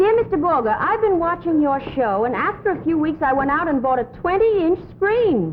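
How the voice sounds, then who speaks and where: Against noticeable background noise, a woman speaks at a moderate pace and a high pitch, with very wide pitch swings and very even loudness. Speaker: actress playing a secretary. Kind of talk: reading fan letters aloud in comedy sketch.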